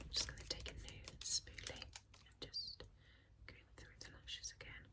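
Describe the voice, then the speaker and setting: A woman whispers at a fairly slow pace, her loudness swinging widely. Noticeable background noise is present. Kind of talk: ASMR role-play, whispered consultation. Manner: whispered, soft-spoken.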